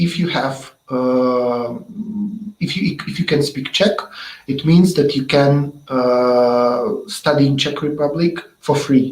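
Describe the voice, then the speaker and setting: Using ordinary pitch variation, a man with a Russian accent speaks at a very slow pace. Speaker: webinar host. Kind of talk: interview. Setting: online webinar. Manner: halting.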